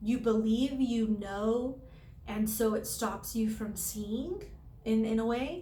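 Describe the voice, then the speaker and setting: A woman with a dark, mellow tone and a fairly high pitch speaks very slowly and somewhat breathily. Her intonation is fairly even, and audible room echo surrounds her. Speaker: tarot reader. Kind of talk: tarot reading to camera. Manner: halting, many fillers.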